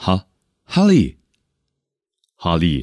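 A very deep, low-pitched male voice with a playful tone, on a very clean recording with a silent background. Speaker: podcast host. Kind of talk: casual solo podcast monologue. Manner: playful, frequent laughter.

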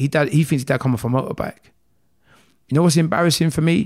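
A man in a South London accent speaks at a fairly high pitch with ordinary pitch variation. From South London (Croydon, South Norwood). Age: 30s. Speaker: motivational speaker, shooting survivor. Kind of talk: casual interview.

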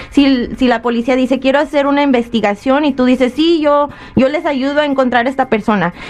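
Speaking fairly quickly, a woman uses a high pitch with ordinary variation. Background noise is noticeable. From Michoacán, Mexico. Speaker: immigration legal advisor. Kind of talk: radio call-in advice.

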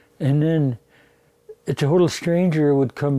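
This man's voice is fairly high-pitched, with a dark, mellow tone and a fairly quick pace. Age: 70s. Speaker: residential school survivor. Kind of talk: testimony.

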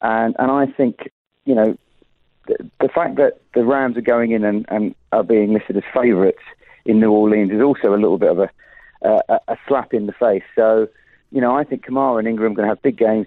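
A man with a British accent talks at a very even loudness. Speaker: betting odds pundit. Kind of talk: sports betting preview. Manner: halting.

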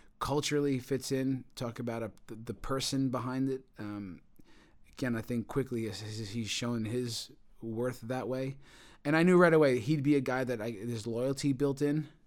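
On a very clean recording with a silent background, a man with an American accent uses a normal speaking voice, medium pitch, ordinary pitch variation and a moderate pace. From New York, Long Island. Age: 40s. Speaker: football coach. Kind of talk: interview.

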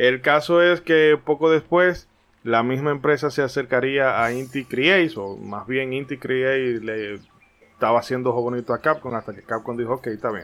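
Music plays in the background as a man speaks at a moderate pace and medium pitch. His pitch varies in an ordinary way while his loudness swings widely. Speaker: podcast host. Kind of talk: scripted narration; casual chat.

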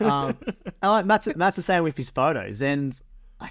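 Speaking at a moderate pace, a man with an Australian accent uses lively intonation. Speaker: podcast co-host and wedding videographer. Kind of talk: casual interview chat.

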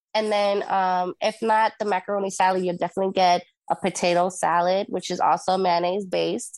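Speaking with a Spanish accent, a woman keeps a medium pitch and fairly even intonation. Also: quiet background. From Puerto Rico and Jacksonville, Florida. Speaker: radio host and event producer. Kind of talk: casual interview chat.

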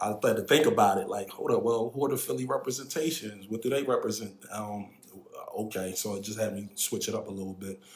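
Over noticeable background noise, a medium-pitched man talks at a very fast pace with ordinary pitch variation. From Philadelphia, Pennsylvania. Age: 40s. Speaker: tech advisor. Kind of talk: casual interview.

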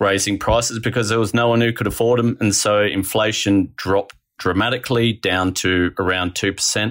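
A man talks with an Australian accent at a fairly low pitch and a moderate pace. The recording is very clean, with a silent background. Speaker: economics writer. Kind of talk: interview.

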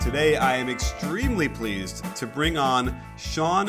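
Captured as a very clean recording with a silent background, a man's medium-pitched voice shows ordinary pitch variation. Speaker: basketball podcast host. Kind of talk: podcast interview.

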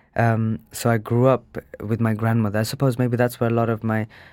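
A medium-pitched man is heard on a very clean recording with a silent background. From England, Birmingham. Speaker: dancer and choreographer. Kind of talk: interview.

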